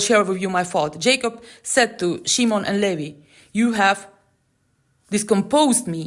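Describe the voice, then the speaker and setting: Lively intonation marks this woman's medium-pitched voice. She speaks at a fairly slow pace. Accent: non-native. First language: not English. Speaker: Torah teacher. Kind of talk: scripture commentary. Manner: halting.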